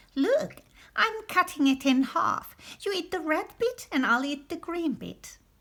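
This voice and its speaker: In a put-on character voice, a woman talks at a fairly slow pace, her extremely high pitch making very wide swings. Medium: read story.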